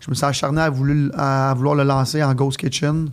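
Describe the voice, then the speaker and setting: The man's voice sits at a medium pitch. He talks at a fairly slow pace with monotone, flat intonation. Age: 30s. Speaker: entrepreneur. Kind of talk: casual interview.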